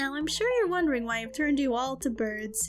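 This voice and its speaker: Over clear background noise, someone uses a put-on character voice at a fairly quick pace. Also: woman. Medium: game stream. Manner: smug, teasing.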